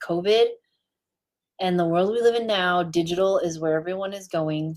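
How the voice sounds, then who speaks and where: A woman with a plain, everyday voice speaks at a moderate pace, fairly low in pitch and with fairly even intonation. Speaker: branding and web designer. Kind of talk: live stream talk. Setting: Facebook live stream.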